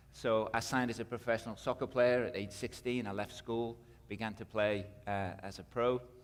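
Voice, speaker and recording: At a moderate pace, a man with a British accent speaks at medium pitch in monotone, flat intonation. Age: 50s. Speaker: missionary and minister. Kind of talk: testimony.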